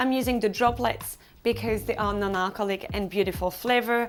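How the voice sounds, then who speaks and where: Her fairly high pitch carries vocal fry and ordinary pitch variation as this woman speaks. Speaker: drinks presenter, wellness founder. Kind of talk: tutorial.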